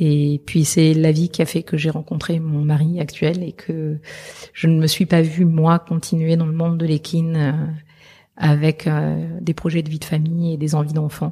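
A woman's very deep, low, somewhat breathy voice, dark and mellow in tone, in a flat monotone at a fairly slow pace. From southern France. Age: 40s. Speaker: veterinarian. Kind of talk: interview. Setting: meeting room in Paris.

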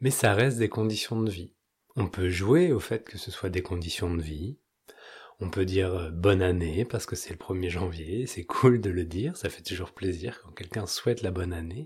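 Very deep and low, a man's somewhat breathy voice moves at a moderate pace with a calm tone, ordinary pitch variation and big swings in loudness. The recording is very clean, with a silent background. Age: 30s. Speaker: spiritual podcast host. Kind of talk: spiritual talk; guided meditation.

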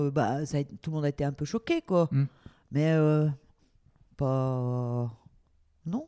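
The sound is dry and close with no echo. A woman with a very deep, low pitch speaks with ordinary pitch variation and long, frequent pauses. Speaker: host's mother. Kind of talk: casual interview.

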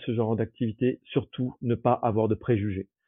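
The speaker is a man whose voice sits at a medium pitch. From southern France, Toulouse. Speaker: holiday rental host. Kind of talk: interview conversation. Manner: halting, many fillers and repetitions; energetic.

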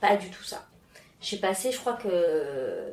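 A woman speaks in a somewhat breathy voice. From France and Mauritius. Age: 30s. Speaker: interview guest. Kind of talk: casual interview. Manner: halting, many fillers and repetitions.

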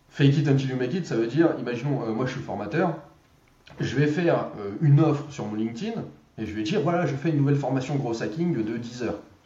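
In a room with audible echo and noticeable background noise, a man speaks very fast at a fairly high pitch with ordinary pitch variation. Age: 30s. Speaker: growth hacker and trainer. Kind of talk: casual interview.

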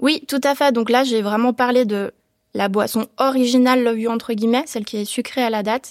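A woman speaks at a high pitch and fairly quick pace. Her intonation stays fairly even. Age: 20s. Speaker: entrepreneur. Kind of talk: interview. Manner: hesitant, many fillers.

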